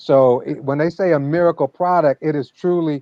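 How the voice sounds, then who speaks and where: At a moderate pace, a man uses an ordinary speaking voice pitched fairly high. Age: 50s. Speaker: wellness product promoter. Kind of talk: interview talk. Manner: repetitive, with frequent fillers.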